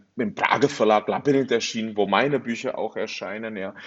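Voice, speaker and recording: Fairly even in intonation, a man with a Czech accent speaks at a fairly quick pace and medium pitch. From northern Bohemia, Czechoslovakia. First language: Czech (speaking German). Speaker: novelist. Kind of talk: interview. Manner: halting.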